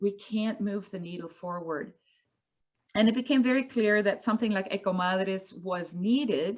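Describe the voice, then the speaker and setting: A woman speaks at medium pitch with a Spanish accent. She keeps a moderate pace. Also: ordinary pitch variation. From Colombia. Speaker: environmental advocate. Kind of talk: panel discussion.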